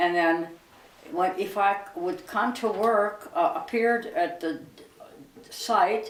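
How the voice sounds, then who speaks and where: A woman's medium-pitched voice with lively intonation at a very slow pace, long, frequent pauses, audible room echo and noticeable background noise. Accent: American. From western Pennsylvania (Duquesne, near Pittsburgh). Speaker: elderly interviewee telling her life story. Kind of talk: oral history interview.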